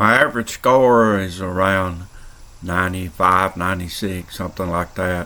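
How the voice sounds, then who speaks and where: With a very deep, low pitch, this man sounds relaxed while his tone stays bright and sharp. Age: 70s. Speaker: vlogger. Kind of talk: casual vlog narration. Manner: relaxed, folksy.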